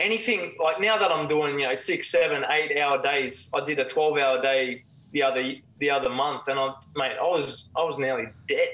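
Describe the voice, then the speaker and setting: Someone speaks at a moderate pace in an Australian accent. The loudness stays very even, with ordinary pitch variation. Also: man, fairly high pitch for a man. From Australia, Cairns (far north Queensland); Queensland, Australia. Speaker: former professional footballer; guest. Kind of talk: casual chat. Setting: remote call. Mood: reflective, candid. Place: home room. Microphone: video call.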